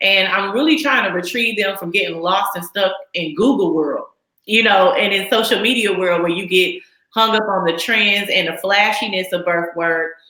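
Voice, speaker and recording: Here is a woman with a normal speaking voice and an American accent, at a medium pitch. She talks at a moderate pace with ordinary pitch variation. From Texas. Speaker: midwife. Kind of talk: interview.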